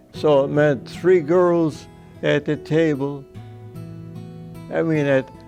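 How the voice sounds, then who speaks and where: Music plays behind a man speaking at a very slow pace with long, frequent pauses. His pitch is fairly high. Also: ordinary pitch variation. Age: 80s+. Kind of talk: interview answer.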